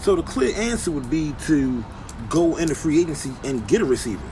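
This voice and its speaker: Over noticeable background noise, a man's lively intonation carries his fairly quick speech. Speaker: sports commentator. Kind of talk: casual sports commentary.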